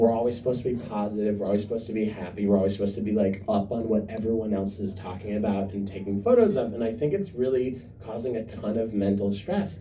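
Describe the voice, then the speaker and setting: A man rattles along at a very fast pace with hardly any pauses, and audible room echo can be heard. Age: 30s. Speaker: comedian. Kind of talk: stand-up. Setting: stage with audience. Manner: loud; animated.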